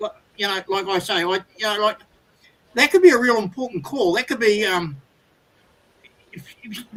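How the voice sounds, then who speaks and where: Fairly quick and lively in intonation, a man talks with an Australian accent. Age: 60s. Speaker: caller. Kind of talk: casual chat. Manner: halting.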